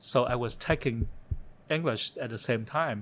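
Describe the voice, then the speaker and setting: The speaker talks at a fairly slow pace with a Vietnamese accent. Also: man. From Vietnam (Saigon). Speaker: interview guest, refugee turned photographer. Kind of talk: interview, life story. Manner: halting, with many fillers and repetitions.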